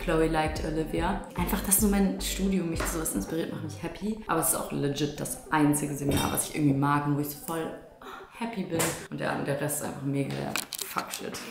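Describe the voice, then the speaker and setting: Quick-paced and very deep, a woman's voice moves with ordinary pitch variation. Noticeable background noise and audible room echo come through. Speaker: vlogger. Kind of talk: casual vlog chat. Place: kitchen. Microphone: phone near.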